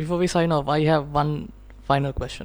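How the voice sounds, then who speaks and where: A woman's very deep, low voice at a moderate pace, monotone and flat, with music in the background. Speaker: podcast host. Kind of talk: podcast interview. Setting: studio in Sri Lanka.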